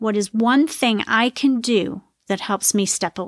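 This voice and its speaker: A fairly high-pitched woman's voice at a very slow pace with ordinary pitch variation, dry and close with no echo, in a very clean recording over a silent background. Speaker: podcast host and wellness coach. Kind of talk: solo podcast monologue. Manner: loud.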